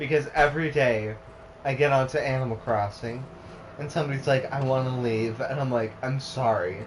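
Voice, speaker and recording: A man talks at a moderate pace with a medium pitch. Noticeable background noise and audible room echo come through. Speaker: gaming streamer. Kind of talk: casual chat during let's play stream. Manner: slurring and misspeaking; animated storytelling.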